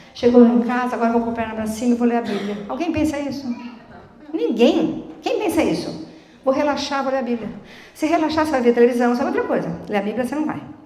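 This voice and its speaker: Animated and lively in intonation, a woman talks very fast in a high voice, with audible room echo and noticeable background noise. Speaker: lay preacher. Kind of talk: sermon.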